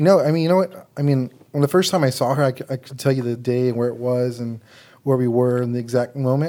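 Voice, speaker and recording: A man talks at a very fast pace in a medium pitch. His tone is dark and mellow, with ordinary pitch variation. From San Antonio, Texas (west side). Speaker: ministry associate, healing minister. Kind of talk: interview about faith story. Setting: studio.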